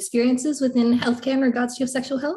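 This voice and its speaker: Her voice is fairly high, a woman speaking with an Australian accent. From Australia, Melbourne. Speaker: podcast host. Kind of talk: interview.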